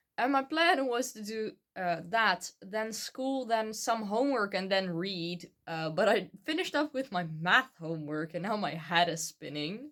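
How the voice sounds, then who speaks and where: A woman of medium pitch with a Dutch accent speaks at a fairly slow pace, with hardly any pauses and very wide pitch swings. The recording is very clean, with a silent background. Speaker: book vlogger. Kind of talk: casual vlog. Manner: hesitant, many fillers.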